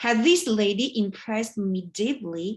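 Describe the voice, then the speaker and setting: Against a quiet background, a woman speaks with a Chinese accent in a fairly high, somewhat breathy voice. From China. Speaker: writer and vlogger. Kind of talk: prepared speech. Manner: halting.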